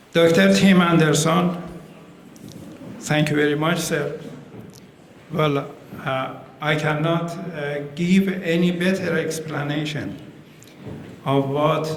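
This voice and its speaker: A man with an Iranian accent speaks at a very slow pace with long, frequent pauses, a fairly high pitch and fairly even intonation. Audible room echo and noticeable background noise surround him. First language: Persian. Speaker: ambassador. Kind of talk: formal speech at community event. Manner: halting, many hesitations.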